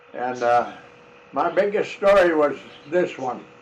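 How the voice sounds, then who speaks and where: A fairly high-pitched man talks while noticeable noise fills the background. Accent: American. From South Dakota, USA. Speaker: farmer. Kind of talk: reminiscing storytelling. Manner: slow, halting.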